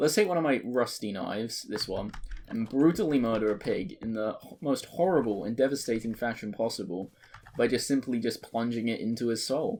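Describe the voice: Speaking at medium pitch, a man's voice carries a slightly husky edge. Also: ordinary pitch variation, moderate pace.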